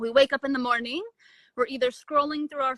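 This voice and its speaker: A woman's high, bright, sharp voice with a dry, close sound and no echo. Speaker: quantum health coach. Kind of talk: interview on live stream. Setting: Instagram live video call. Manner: casual, conversational.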